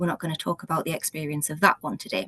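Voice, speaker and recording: The voice is somewhat breathy, with a dry, close sound and no echo. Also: woman. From northeast England, Gateshead. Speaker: public health active travel manager. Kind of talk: presentation talk. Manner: hesitant, many fillers.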